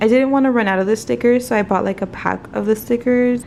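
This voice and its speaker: A woman's monotone, flat delivery amid noticeable background noise. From South Texas. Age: 20s. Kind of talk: casual vlog talk to camera.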